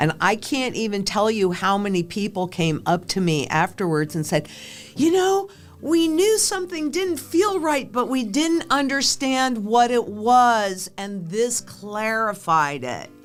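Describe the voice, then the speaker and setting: Music plays behind a woman with an American accent who speaks at a fairly slow pace and a fairly high pitch. Her pitch swings very widely. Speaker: financial analyst, former banker and stockbroker. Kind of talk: interview conversation.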